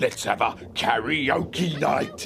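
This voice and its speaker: A man puts on a character voice pitched high for a man, with clear music in the background. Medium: read story. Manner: grumbling.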